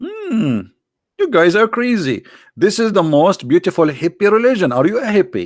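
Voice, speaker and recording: An animated man with an Arabic accent speaks in a high pitch, his voice swinging very widely in pitch. The recording is very clean with a silent background and a dry, close sound with no echo. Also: moderate pace. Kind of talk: sarcastic religious polemic commentary. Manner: animated, sarcastic.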